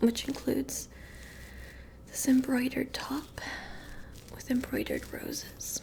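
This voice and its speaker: A woman whispering in a playful tone at a very slow pace, with noticeable background noise. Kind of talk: ASMR comedy roleplay to camera. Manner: soft-spoken, playful.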